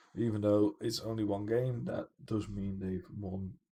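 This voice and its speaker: With a dark, mellow tone, a man speaks at a moderate pace in a fairly low pitch, sounding somewhat breathy. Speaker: gaming streamer. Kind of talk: live gameplay commentary. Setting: home livestream. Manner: laid-back.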